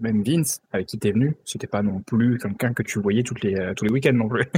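Ordinary pitch variation marks this man's fairly low voice. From southeastern France, Alpes-de-Haute-Provence. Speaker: podcast co-host. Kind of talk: casual chat. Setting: remote recording, each on own side.

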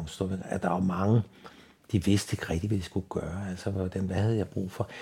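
His voice is fairly low for a man and somewhat breathy. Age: 70s. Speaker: blind retiree. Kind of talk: interview. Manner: halting, many fillers and repetitions.

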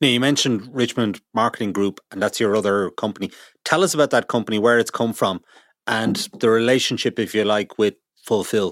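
The recording is very clean, with a silent background. A man with an Irish accent talks at a fairly quick pace with ordinary pitch variation. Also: medium pitch for a man. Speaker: business journalist podcast host. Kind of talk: interview; scripted narration.

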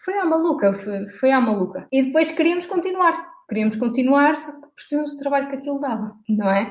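A woman talks at a fairly quick pace with lively intonation. Noticeable background noise runs beneath her speech. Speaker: environmental activist and blogger. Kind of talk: interview conversation.

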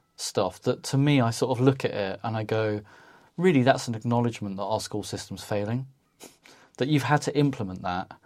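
A plain, everyday voice at a fairly quick pace with ordinary pitch variation, in a very clean recording over a silent background. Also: man, medium pitch for a man. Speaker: podcast host. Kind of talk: casual reflective chat.

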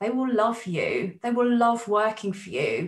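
In a normal speaking voice, a woman talks at a fairly slow pace with a fairly high pitch and lively intonation. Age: 40s. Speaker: counsellor and psychotherapist. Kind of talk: interview conversation.

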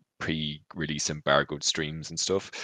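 Bright, sharp tone with vocal fry and a flat, monotone intonation. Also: man. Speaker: streamer and content creator. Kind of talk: casual interview.

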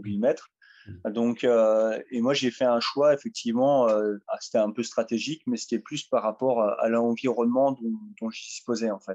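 A man speaks at a medium pitch and a moderate pace. The sound is dry and close, with no echo. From northeastern France, Ardennes (Sedan). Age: 30s. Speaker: kayak athlete. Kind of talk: interview conversation. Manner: halting, many fillers.

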